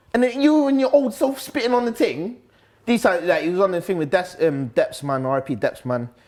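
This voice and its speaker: Loud and fairly quick, a man talks with a Nottingham accent. His voice is high in pitch, with very wide pitch swings. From Nottingham, England (Top Valley). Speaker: grime MC. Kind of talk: casual interview. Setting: live-streamed sit-down interview. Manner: loud, hyperactive.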